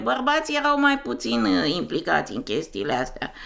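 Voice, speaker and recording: The woman's voice has a bright, sharp tone. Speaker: interviewee. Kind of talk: casual chat.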